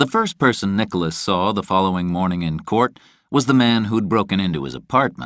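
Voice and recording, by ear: Someone reads aloud. The voice sounds natural.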